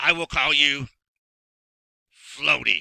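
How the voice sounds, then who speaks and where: A raspy, put-on character voice with a dry, close sound and no echo. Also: man, fairly high pitch for a man. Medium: read story. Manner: gruff, grumbling.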